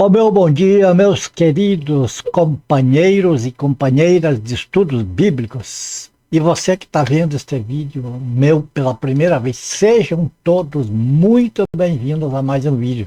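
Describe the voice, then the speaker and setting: The man speaks at a very slow pace with hardly any pauses, a fairly high pitch, and a dark, mellow tone, in a dry, close sound with no echo. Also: lively intonation. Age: 70s. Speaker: Bible teacher. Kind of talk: testimony.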